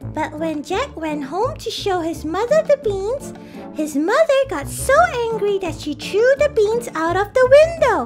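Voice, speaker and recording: Clear music plays behind a cartoonish character voice at an extremely high pitch. The pace is moderate. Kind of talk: children's educational show. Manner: bright, enthusiastic.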